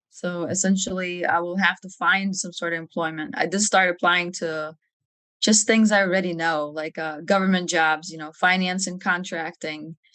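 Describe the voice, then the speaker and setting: Speaking with a Lithuanian accent at a moderate pace, a woman with a fairly low pitch and a bright, sharp tone shows big swings in loudness. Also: fairly even intonation. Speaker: army officer. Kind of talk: podcast interview.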